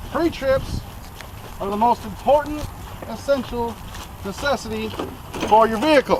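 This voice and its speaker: Over noticeable background noise, a man talks at a moderate pace in an extremely high pitch, with ordinary pitch variation and long, frequent pauses. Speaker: student giving a class speech, repo man. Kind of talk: demonstration tutorial. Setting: in and around a tow truck.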